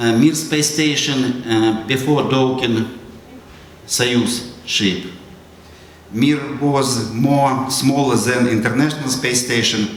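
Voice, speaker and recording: In a Russian accent, a man speaks at a very slow pace with long, frequent pauses, fairly even intonation and very even loudness. Noticeable background noise and audible room echo run through the clip. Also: medium pitch for a man. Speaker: astronaut. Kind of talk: school presentation. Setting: school audience. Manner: halting.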